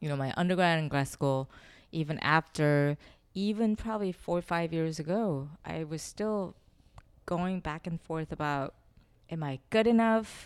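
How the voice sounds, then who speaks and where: In a very clean recording with a silent background, a woman with a Korean accent speaks at a fairly slow pace and a fairly low pitch, with ordinary pitch variation. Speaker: sculptor and installation artist.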